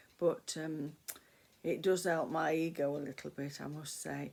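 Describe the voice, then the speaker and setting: The voice has vocal fry and moves at a fairly slow pace. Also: woman. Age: 60s. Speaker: vlogger. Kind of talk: casual chat. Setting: at home, talking to camera. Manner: rambling, hesitant with fillers.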